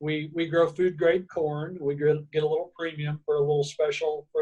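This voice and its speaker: Fairly high in pitch yet dark and mellow in tone, a man speaks at a fairly quick pace with monotone, flat intonation. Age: 60s. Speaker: farmer. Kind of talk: interview. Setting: on family vacation. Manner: halting.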